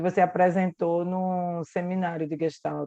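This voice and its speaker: Over a quiet background, a woman with a Pernambucan accent speaks in a dark, mellow tone at a medium pitch, her intonation monotone and flat, in a dry, close sound without echo. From Pernambuco, Brazil. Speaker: psychotherapist. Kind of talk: casual chat.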